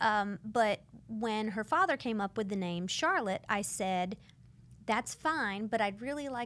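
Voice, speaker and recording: A woman with a plain, everyday voice speaks in an American accent at a fairly high pitch. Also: very clean recording, silent background. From US South, Florida Panhandle (Pensacola suburbs). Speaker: employment lawyer. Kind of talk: casual interview chat. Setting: studio.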